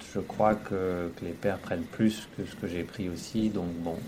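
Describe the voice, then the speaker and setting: Very deep and low, a man's voice carries fairly even intonation. Noticeable background noise and audible room echo surround it. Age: 30s. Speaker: engineer and father. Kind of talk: interview testimony. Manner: halting, many hesitations.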